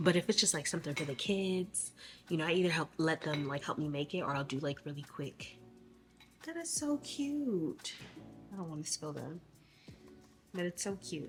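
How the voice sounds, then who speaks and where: Music in the background behind a woman's moderately paced voice, fairly low in pitch. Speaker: vlogger. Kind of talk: casual vlog talk to camera. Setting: at home.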